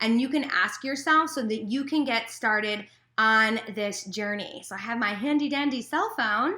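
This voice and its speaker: The recording is very clean, with a silent background. A woman speaks at a moderate pace in a high, bright, sharp voice with ordinary pitch variation. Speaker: life coach. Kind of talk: casual advice vlog. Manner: loud; filler-heavy, many ums and pauses.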